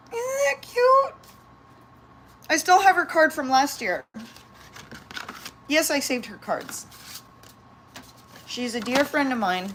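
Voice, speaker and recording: A woman talks at a fairly slow pace with long, frequent pauses, her high pitch making very wide swings. Noticeable background noise sits behind her. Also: big swings in loudness. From San Diego, California. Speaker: pet vlogger and yoga teacher. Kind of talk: casual livestream chat. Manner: animated.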